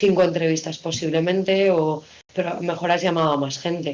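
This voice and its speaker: With a plain, everyday voice, a woman talks at a moderate pace, her pitch fairly low and her intonation fairly even. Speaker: radio announcer / broadcaster. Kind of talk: interview answer about radio work.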